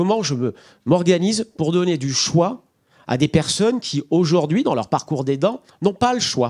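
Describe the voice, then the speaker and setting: The background is quiet as a man talks at a moderate pace. His intonation is lively. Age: 40s. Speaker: nonprofit director; speaker. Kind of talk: panel discussion. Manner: halting. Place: hall. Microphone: handheld.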